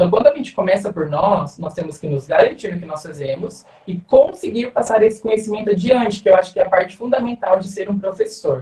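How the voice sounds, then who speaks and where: A man's high-pitched voice at a fairly quick pace, with hardly any pauses, ordinary pitch variation and big swings in loudness. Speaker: dance teacher. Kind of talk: online talk to students. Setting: video call. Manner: fast.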